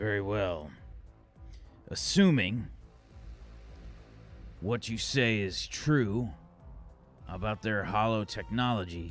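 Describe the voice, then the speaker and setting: With music in the background, a man puts on a raspy character voice, fairly low in pitch with ordinary variation, moving at a fairly slow pace with long, frequent pauses. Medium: actual play. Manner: curt, commanding, sardonic.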